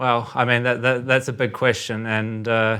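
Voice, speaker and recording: In a New Zealand accent, a man speaks with a fairly low pitch and a bright, sharp tone. His intonation is flat and monotone. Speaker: currency trader. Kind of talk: podcast discussion. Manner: many filler words and hesitations.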